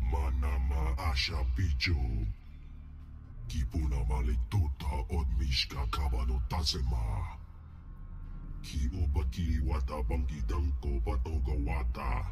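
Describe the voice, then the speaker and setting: This man uses a put-on character voice at a fairly slow pace. Loud background noise runs behind him. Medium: video game. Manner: speaks alien Huttese.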